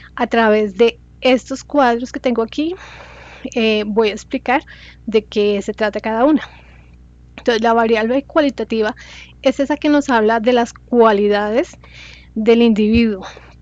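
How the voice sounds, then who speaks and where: Fairly slow and broken by long, frequent pauses, a woman's fairly high voice keeps fairly even intonation in a dry, close sound with no echo. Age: 40s. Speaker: student. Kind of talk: class presentation. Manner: halting.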